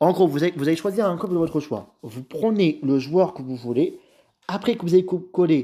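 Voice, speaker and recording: A man with a high voice and a dark, mellow tone speaks at a moderate pace with lively intonation. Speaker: YouTuber. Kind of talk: tutorial.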